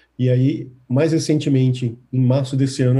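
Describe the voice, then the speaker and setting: A man's medium-pitched voice comes across somewhat breathy, with a dark, mellow tone. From Brazil, Recife (Pernambuco). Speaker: tech company executive. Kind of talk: interview.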